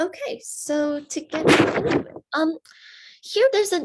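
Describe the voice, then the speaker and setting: In a very clean recording with a silent background, a woman is speaking. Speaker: seminar leader on classics. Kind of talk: lecture. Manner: hesitant, many fillers.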